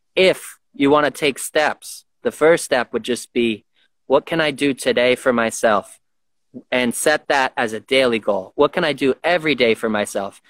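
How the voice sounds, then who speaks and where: A man speaks at a medium pitch and moderate pace with ordinary pitch variation and a plain, everyday voice, recorded very cleanly against a silent background with a dry, close sound and no echo. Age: 30s. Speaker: martial arts and boxing coach. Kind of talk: casual interview.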